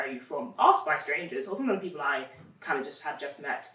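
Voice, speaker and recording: Someone with an English accent speaks at a very fast pace over noticeable background noise. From London, England. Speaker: writer, panelist. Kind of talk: panel discussion.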